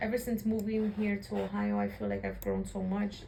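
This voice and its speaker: A woman speaks with an American accent. Noticeable background noise and audible room echo fill the recording. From Chicago area, US Midwest. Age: 20s. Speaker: interviewee. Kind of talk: interview.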